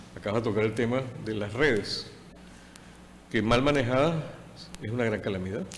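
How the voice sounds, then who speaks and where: A man speaks at a medium pitch with ordinary pitch variation and a fairly quick pace. Long, frequent pauses break up his speech, and the room echo is audible. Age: 60s. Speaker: TV talk show host. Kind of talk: TV interview.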